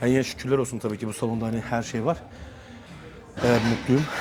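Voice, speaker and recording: This man rattles off his words very fast while noticeable background noise plays. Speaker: fitness vlogger, bodybuilder. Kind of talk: casual gym vlog talk. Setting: gym. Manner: hesitant, many fillers.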